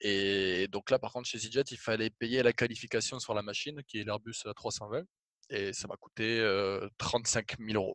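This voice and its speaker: This man has an unremarkable speaking voice at medium pitch with fairly even intonation and a fairly slow pace. The sound is dry and close, with no echo. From France, Toulouse. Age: 20s. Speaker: airline pilot and clothing brand founder. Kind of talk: casual interview. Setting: video call.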